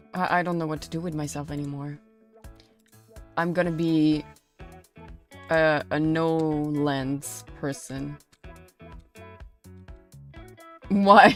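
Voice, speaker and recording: Over music in the background, someone speaks very slowly with a French accent. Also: woman. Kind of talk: English spoken with a French accent.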